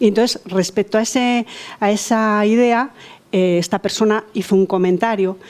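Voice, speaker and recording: Speaking at a fairly slow pace, a woman keeps her loudness very even, with a medium pitch and ordinary pitch variation. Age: 60s. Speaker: participant in discussion group. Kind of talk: personal testimony in group discussion. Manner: halting, many fillers and repetitions.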